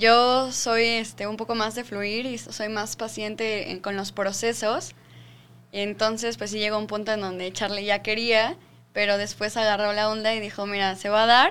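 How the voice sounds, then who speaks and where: Speech at a fairly slow pace in a monotone, flat intonation, captured in a very clean recording with a silent background. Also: woman, fairly high pitch for a woman. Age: 20s. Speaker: real estate sales manager. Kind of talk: casual chat.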